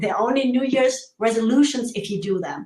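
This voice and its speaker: A woman speaks with a German accent at a high pitch. Her pace is moderate and her pitch variation ordinary. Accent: German, working on American pronunciation. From Germany. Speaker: show co-host. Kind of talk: live video chat.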